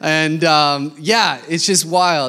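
Noticeable background noise behind a man's fairly high-pitched speech. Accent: American. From Denver, Colorado, US. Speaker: missionary and preacher. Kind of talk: sermon.

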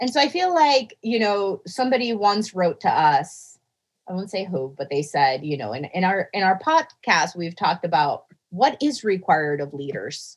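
The speaker is a woman, and her voice is loud. Her pitch swings very widely. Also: medium pitch for a woman, moderate pace. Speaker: mathematician podcast co-host. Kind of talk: casual chat.

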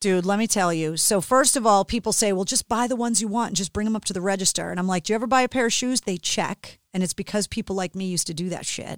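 Very fast and with hardly any pauses, a woman of medium pitch speaks in an animated tone, the sound dry and close with no echo. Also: ordinary pitch variation. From Boston, Massachusetts. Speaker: radio DJ and podcaster. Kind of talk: casual interview chat. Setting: video call.

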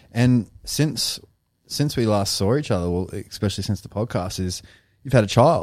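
A man's normal speaking voice at medium pitch, moderate pace, and ordinary pitch variation, on a very clean recording with a silent background. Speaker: podcast co-host. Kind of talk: casual chat.

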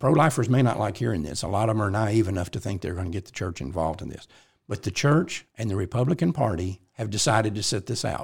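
The recording is very clean, with a silent background. A man talks at a very fast pace in a fairly low, somewhat breathy voice. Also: lively intonation. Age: 70s. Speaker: pro-life organization president and podcast host. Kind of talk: casual chat.

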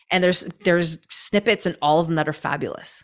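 A woman with a Canadian accent speaks at a fairly quick pace and fairly low pitch in an unremarkable speaking voice, recorded very cleanly against a silent background. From Canada. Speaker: trauma-informed movement coach. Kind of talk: interview conversation.

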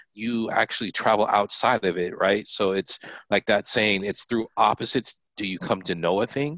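A plain, everyday voice from a man, fairly low in pitch, at a moderate pace with ordinary pitch variation, with a dry, close sound with no echo and a quiet background. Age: 40s. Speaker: college admissions staffer and co-host. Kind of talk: casual chat.

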